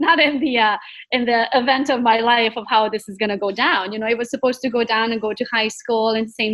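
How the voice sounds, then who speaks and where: The pace is fairly quick, with hardly any pauses. Intonation stays fairly even. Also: woman. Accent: Romanian. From Romania, Transylvania. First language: Romanian. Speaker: real estate agent. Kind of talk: interview, life story.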